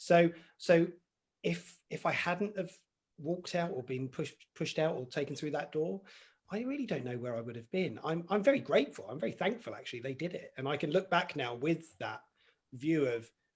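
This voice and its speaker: This man has an English accent and a fairly high pitch. He talks at a fairly quick pace. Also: lively intonation. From southern England, Basingstoke, Hampshire. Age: 40s. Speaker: mental health coach. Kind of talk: interview.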